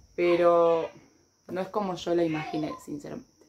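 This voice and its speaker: Over light background noise, a woman with a Rioplatense accent speaks in a fairly low pitch. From Argentina. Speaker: YouTuber. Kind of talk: casual haul video. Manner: animated. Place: home room. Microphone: phone near.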